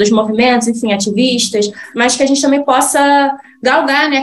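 A woman with a high pitch talks at a moderate pace and ordinary pitch variation over noticeable background noise. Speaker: podcast host, NGO researcher. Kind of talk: podcast interview.

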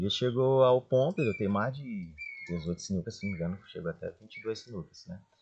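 A man at medium pitch with lively intonation and a moderate pace, over noticeable background noise. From Brazil, Maranhão (Chapadinha). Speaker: pharmacy business owner. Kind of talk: interview storytelling.

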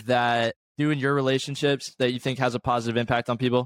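An unremarkable speaking voice from a man, medium in pitch and moderate in pace, on a very clean recording with a silent background and a dry, close sound free of echo. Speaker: podcast host. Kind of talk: casual chat.

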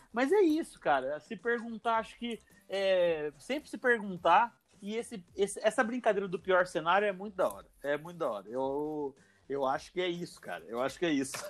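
High-pitched male speech with very wide pitch swings, moderate in pace. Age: 30s. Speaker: podcast host. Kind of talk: casual chat.

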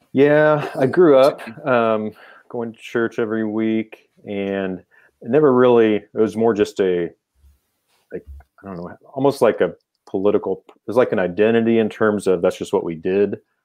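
Against a quiet background, someone talks with a Midwestern American accent. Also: man, big swings in loudness. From Kansas. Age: 50s. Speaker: philosophy professor. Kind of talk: casual interview.

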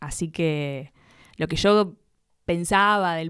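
The woman has a plain, everyday voice with fairly even intonation, heard on a very clean recording with a silent background. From Buenos Aires, Argentina. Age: 20s. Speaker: content creator. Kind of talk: casual chat.

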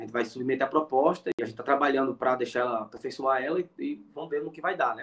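Talking at a very fast pace with hardly any pauses, a man uses a fairly high pitch. His loudness swings widely. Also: ordinary pitch variation. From Pernambuco interior, Brazil. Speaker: education professor. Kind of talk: interview conversation. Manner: halting, many fillers.

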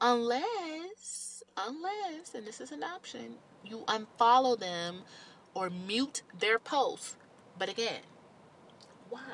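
With noticeable background noise behind her, a woman speaks in an animated tone with very wide pitch swings. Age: 30s. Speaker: podcaster. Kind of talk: casual monologue.

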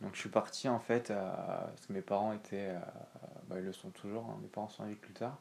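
Talking at a fairly quick pace, a man with a fairly low pitch and an unremarkable speaking voice keeps a fairly even intonation but shows big swings in loudness. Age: 20s. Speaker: real estate investor. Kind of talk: casual chat.

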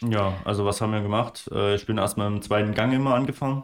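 In a strong Saxon accent, a man speaks fairly quickly at a fairly low pitch with fairly even intonation, on a very clean recording with a silent background. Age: 20s. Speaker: landscape photographer. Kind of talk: casual chat.

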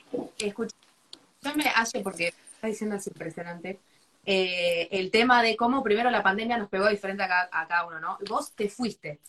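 Her pitch sits in the medium range. The woman's voice varies in pitch in an ordinary way. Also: moderate pace. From Argentina, La Plata. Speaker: architect and interviewer. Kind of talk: live stream interview. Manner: animated.

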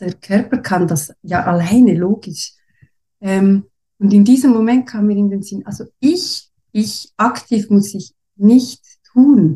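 A woman with a dark, mellow tone and a medium pitch speaks at a very slow pace, somewhat breathy, with ordinary pitch variation and big swings in loudness. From Switzerland. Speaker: former nurse and mother sharing birth story. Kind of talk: personal birth story in interview. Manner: halting, many fillers.

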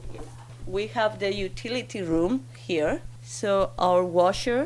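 A woman with a Spanish accent at a very slow pace, her fairly low pitch swinging very widely. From Spain, Bilbao. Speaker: interviewee giving house tour. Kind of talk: casual interview. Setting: at home.

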